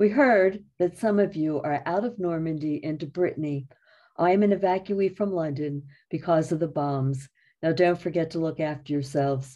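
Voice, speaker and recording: Against a quiet background, a woman with an American accent speaks at a moderate pace with a fairly low pitch, a dark, mellow tone and ordinary pitch variation. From Philadelphia area, USA. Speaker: retired English teacher. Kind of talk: history talk. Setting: video call. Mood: calm, warm storytelling. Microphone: video call.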